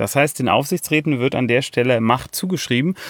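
With lively intonation, a man in a fairly high pitch speaks at a fairly quick pace. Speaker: podcast host, project management consultant. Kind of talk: solo educational podcast monologue. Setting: outdoors in a forest.

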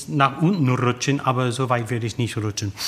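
A man speaks with an English accent and fairly even intonation. Noticeable background noise can be heard. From USA, tobacco-farming family. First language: English (speaking German). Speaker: opera tenor. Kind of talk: interview. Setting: opera house foyer.

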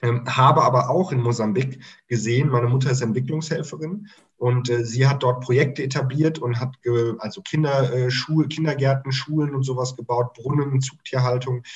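Fairly even intonation in a somewhat breathy voice. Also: man, medium pitch for a man, moderate pace. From Germany (near Mainz) and Mozambique. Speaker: startup consultant. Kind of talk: casual interview chat.

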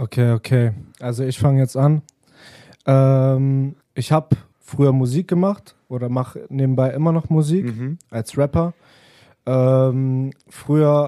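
Long, frequent pauses mark this man's very slow pace. His medium-pitched voice has a dark, mellow tone and ordinary pitch variation, recorded dry and close with no echo. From Germany, Wolfsburg. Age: 20s. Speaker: rapper and music video producer. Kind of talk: casual chat. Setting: radio studio.

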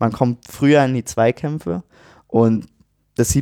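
A man's medium-pitched, dark, mellow voice at a fairly slow pace with ordinary pitch variation, dry and close with no echo, in a very clean recording with a silent background. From Brandenburg, Germany. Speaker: football fan, university student. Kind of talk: casual chat.

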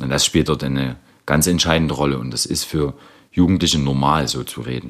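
A man talks at a moderate pace. His pitch sits very deep and low. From Saxony, eastern Germany. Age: 30s. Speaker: social worker. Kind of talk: interview testimony.

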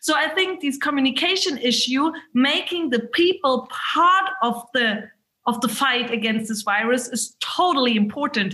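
With a German accent, a woman projects her raised, high-pitched voice in a bright, sharp tone, using lively intonation at a moderate pace. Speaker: state politician. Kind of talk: webinar discussion. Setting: video call.

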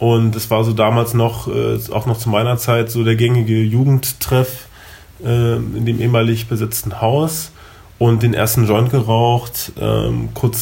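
Against noticeable background noise, a man speaks very slowly at a medium pitch in a monotone, flat intonation. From Germany, Berlin. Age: 20s. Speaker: recovering addict. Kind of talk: interview.

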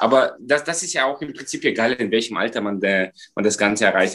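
Against a quiet background, a man speaks at a moderate pace in a medium pitch with ordinary pitch variation. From Moldova. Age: 20s. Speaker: professional dancer and dentist. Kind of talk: interview.

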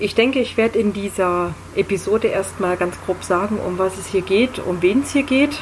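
A woman's speech, with ordinary pitch variation, comes through noticeable background noise. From Berlin, Germany. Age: 20s. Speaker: podcast host. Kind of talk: casual monologue.

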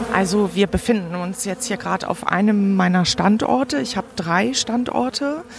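A woman at a medium pitch with lively intonation, speaking at a moderate pace with hardly any pauses over noticeable background noise. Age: 40s. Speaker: hobby beekeeper. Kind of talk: interview monologue. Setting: outdoors. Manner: hesitant, many fillers.

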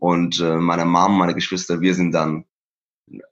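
Over a quiet background, a man speaks at a fairly slow pace with a very deep, low pitch. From Iran, Isfahan and Tehran; moved to Germany at eleven. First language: Persian (speaking German). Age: 30s. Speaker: painter and musician. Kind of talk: interview about his life story. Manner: hesitant with many fillers.

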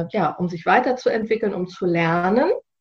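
Somewhat breathy woman's voice, fairly slow, with ordinary pitch variation. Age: 40s. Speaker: sustainability officer at a business initiative, fashion industry background. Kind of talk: podcast interview. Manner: hesitant, many filler sounds.

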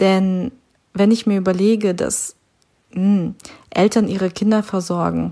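Speaking at a fairly slow pace, a woman has a dark, mellow tone, a medium pitch and fairly even intonation. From Siberia, Russia. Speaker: church podcast host. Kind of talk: devotional talk. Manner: casual, hesitant with fillers.

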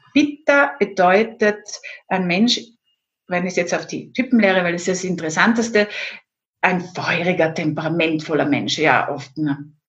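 With lively intonation and long, frequent pauses, a woman speaks at a medium pitch in a somewhat breathy voice. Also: moderate pace. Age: 50s. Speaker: Ayurveda expert and former pharmacist. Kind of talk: interview.

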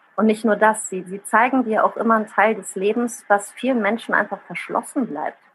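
Noticeable background noise sits behind a woman's voice. She speaks at a fairly high pitch with fairly even intonation. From Rhineland, Germany and Italy. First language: Italian (speaking German). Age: 30s. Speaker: social media user and writer. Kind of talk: casual interview.

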